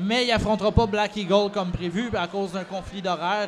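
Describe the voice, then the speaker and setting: Against noticeable background noise, a man with a high pitch and a Quebec accent speaks at a moderate pace with fairly even intonation. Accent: Québécois French. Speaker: wrestling promoter. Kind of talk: casual chat. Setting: recording at a convention.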